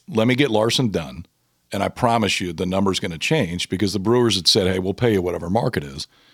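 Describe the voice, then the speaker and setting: A man with an American accent talks at a very fast pace in a fairly low voice with lively intonation, and the sound is dry and close with no echo. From Nebraska, Omaha. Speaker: baseball analyst and former pitcher. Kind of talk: casual chat.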